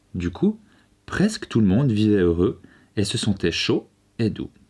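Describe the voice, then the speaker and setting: Male voice with a gentle, soothing tone at a fairly slow pace. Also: very clean recording, silent background. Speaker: video creator and storyteller. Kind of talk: bedtime story reading aloud. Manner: gentle, soft and soothing, slow storyteller's pace.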